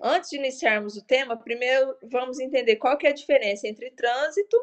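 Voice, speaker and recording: Lively intonation marks this woman's high voice. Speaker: police corporal and traffic instructor. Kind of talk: lecture.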